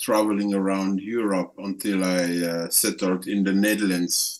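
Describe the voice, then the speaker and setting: A fairly low-pitched male voice with a French accent and flat, monotone intonation. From Congo (Central Africa). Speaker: activist. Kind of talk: interview. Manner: halting, many fillers and repetitions.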